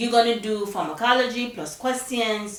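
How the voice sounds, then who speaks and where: Over noticeable background noise and audible room echo, a woman talks in an animated tone at a moderate pace and a medium pitch. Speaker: nursing coach. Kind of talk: tutorial.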